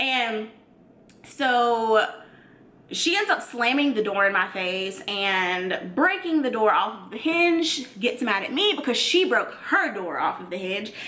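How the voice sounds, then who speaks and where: A woman with an American accent speaks loudly at a fairly slow pace, in an animated tone with a fairly high pitch and very wide pitch swings. Noticeable background noise and audible room echo are present. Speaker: YouTuber. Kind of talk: storytime.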